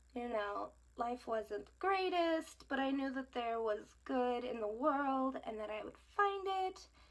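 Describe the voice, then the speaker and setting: Over noticeable background noise, a woman talks at a high pitch with lively intonation. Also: fairly slow pace. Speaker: beauty vlogger. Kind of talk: makeup tutorial.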